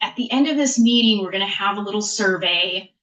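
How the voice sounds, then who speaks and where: Here a woman is speaking. Her pitch is medium. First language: not English. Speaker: state agency planning staff presenting to advisory committee. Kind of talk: meeting presentation. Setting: meeting room with committee.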